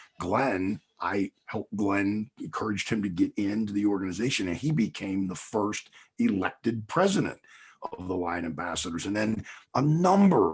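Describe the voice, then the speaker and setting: With an American accent, a man speaks in an unremarkable speaking voice at a fairly low pitch, with ordinary pitch variation and a moderate pace. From Pittsburgh, Pennsylvania. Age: 60s. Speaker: motivational speaker and former hockey coach. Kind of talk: podcast interview.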